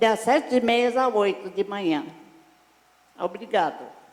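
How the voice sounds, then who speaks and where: Against noticeable background noise, a man talks at a fairly slow pace with a high pitch. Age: 80s+. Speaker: community exercise class leader. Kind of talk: public comment at hearing. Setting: city council public hearing. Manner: halting, repetitive.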